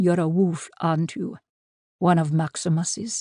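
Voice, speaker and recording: Someone does a growling, put-on character voice at a middle pitch and a moderate pace. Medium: read story. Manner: slightly mocking.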